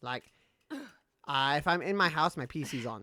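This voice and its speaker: In a British accent, a man with a fairly high pitch and a bright, sharp tone shows ordinary pitch variation. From Britain. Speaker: gaming streamer. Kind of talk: casual live-stream gaming chat.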